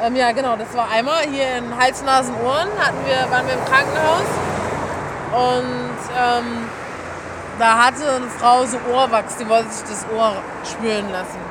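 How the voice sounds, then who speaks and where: High-pitched speech from a woman, fairly slow with long, frequent pauses and fairly even intonation, amid noticeable background noise and audible room echo. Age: 20s. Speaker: medical student. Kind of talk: casual interview. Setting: outdoors.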